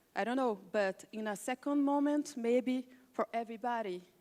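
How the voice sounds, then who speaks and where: In a Portuguese accent, a woman speaks at a high pitch with ordinary pitch variation. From Brazil, Rio de Janeiro. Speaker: film cinematographer and director. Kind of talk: panel presentation. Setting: conference panel. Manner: halting, searching for words.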